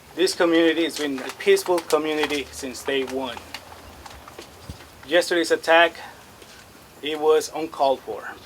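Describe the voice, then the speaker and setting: A man with a fairly high pitch speaks at a moderate pace with fairly even intonation and big swings in loudness. He takes long, frequent pauses over noticeable background noise. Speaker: school board candidate. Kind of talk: press conference statement. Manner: soft-spoken.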